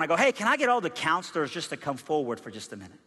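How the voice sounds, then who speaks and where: A man talks at a very fast pace with a high pitch. His tone is animated. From Iran, raised in US South from age nine. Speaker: pastor. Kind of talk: sermon. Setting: church.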